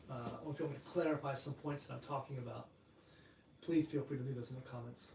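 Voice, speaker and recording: With noticeable background noise behind him, a man talks very fast in a fairly high pitch with monotone, flat intonation. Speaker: martial arts instructor and channel host. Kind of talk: live stream chat.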